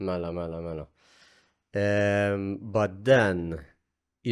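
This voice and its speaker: The recording is very clean, with a silent background. A man speaks with a Maltese accent at a fairly low pitch. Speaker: podcast host. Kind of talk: casual chat.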